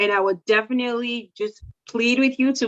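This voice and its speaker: A woman's voice, high in pitch. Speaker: support coordination expert. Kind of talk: presentation. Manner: fast.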